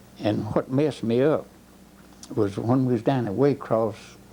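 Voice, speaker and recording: A man with a Southern US accent speaks in a dark, mellow tone. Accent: Southern American. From Georgia, US South. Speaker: war veteran. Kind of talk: oral history interview answer.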